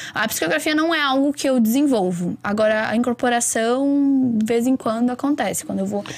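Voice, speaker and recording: A woman talks at a high pitch with hardly any pauses. Noticeable background noise runs behind her. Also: ordinary pitch variation, moderate pace. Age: 20s. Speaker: astrologer and tarot reader. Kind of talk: casual chat.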